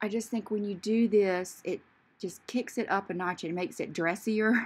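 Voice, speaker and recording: Fairly even intonation carries speech delivered at a moderate pace. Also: woman. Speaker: beauty vlogger. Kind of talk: casual makeup tutorial chat. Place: bathroom. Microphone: phone near.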